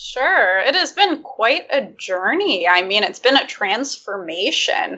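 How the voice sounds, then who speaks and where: Speaking at a very slow pace, a woman with an American accent uses a high pitch and very wide pitch swings. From Michigan. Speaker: libertarian YouTuber. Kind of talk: casual interview chat.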